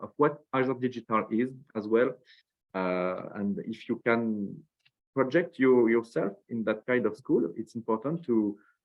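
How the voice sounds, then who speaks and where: A man with a French accent, medium pitch, ordinary pitch variation and a moderate pace. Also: big swings in loudness. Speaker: school representative. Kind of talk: webinar presentation. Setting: online webinar. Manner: halting, many fillers and repetitions.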